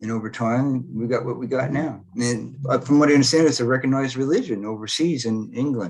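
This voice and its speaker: Here a man talks fairly quickly, barely pausing at all. He has an ordinary speaking voice at medium pitch, with ordinary pitch variation. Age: 60s. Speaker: spiritual healer. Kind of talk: interview.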